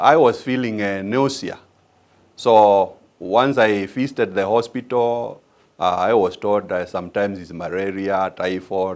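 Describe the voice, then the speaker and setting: A man speaks with a Kenyan accent at a fairly low pitch. The recording is very clean, with a silent background. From Kenya, Machakos County. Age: 60s. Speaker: patient giving testimonial. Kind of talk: testimony. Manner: halting, many fillers.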